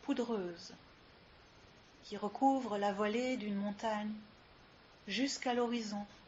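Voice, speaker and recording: A woman speaks at a very slow pace in a calm, soothing, somewhat breathy tone, with fairly high pitch. Her intonation stays fairly even, broken by long, frequent pauses. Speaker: yoga teacher. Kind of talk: guided yoga nidra relaxation session. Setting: live recording with ambient sounds. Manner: slow, calm, soothing.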